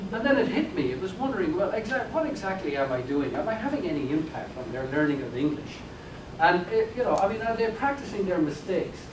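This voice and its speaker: In an Irish accent, a man speaks at a very fast pace with a high pitch and very wide pitch swings. Audible room echo and noticeable background noise surround his voice. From Ireland. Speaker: professor. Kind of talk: lecture. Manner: halting.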